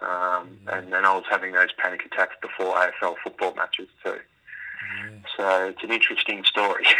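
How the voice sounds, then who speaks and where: A man with an Australian accent at a moderate pace, with hardly any pauses. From Melbourne, Australia. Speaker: former pro footballer, mental health advocate. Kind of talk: interview. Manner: halting, many fillers.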